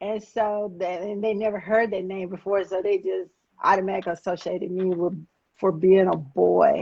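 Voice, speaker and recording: A woman in a Southern US accent speaks at a moderate pace in a dark, mellow tone, with monotone, flat intonation. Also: medium pitch for a woman. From Alabama, Huntsville. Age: 50s. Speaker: former drug dealer turned activist. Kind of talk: interview testimony.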